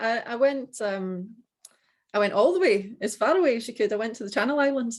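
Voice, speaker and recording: This woman has a strong Scottish accent and a fairly high pitch. She talks at a fairly quick pace with lively intonation. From Scotland. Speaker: dog trainer, business owner. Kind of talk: casual business video call. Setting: video call.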